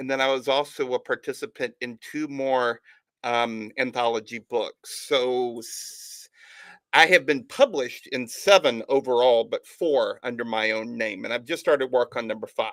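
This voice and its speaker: On a very clean recording with a silent background and a dry, close sound with no echo, a man speaks in a Southern US accent at a medium pitch and a moderate pace with ordinary pitch variation. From Alabama, US South (Tuscaloosa). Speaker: author and podcast host. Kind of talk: interview. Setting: live stream.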